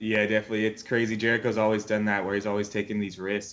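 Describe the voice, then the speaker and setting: In a monotone, flat intonation, a man with an American accent talks at a fairly low pitch. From US West Coast (California, Oregon). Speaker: professional wrestler. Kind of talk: casual interview.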